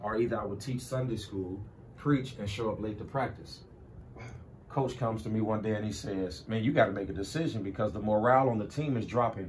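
A man's somewhat breathy, fairly low-pitched voice at a fairly quick pace, with ordinary pitch variation and audible room echo. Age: 30s. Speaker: pastor. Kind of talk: casual interview.

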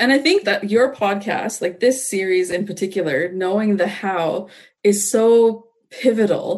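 With a normal speaking voice at medium pitch, a woman talks at a fairly slow pace with ordinary pitch variation. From Canada. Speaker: lawyer. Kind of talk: casual chat.

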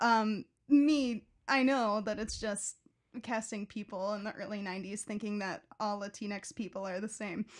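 A woman with a Chicago accent and a fairly high pitch, speaking at a moderate pace with fairly even intonation on a very clean recording with a silent background. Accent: Chicago-area American. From Chicago southwest suburbs. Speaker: theater curator. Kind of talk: casual chat.

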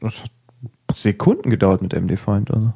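A man's medium-pitched voice with a dark, mellow tone, ordinary pitch variation and a moderate pace, on a very clean recording with a silent background. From Germany, Hesse. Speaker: podcast host. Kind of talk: casual tech chat. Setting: studio.

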